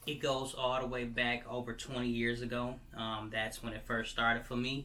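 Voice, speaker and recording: With audible room echo around him, a man speaks in a bright, sharp tone at a medium pitch, his intonation monotone and flat. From Michigan. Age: 30s. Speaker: vlogger. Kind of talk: personal testimony. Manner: halting, many fillers.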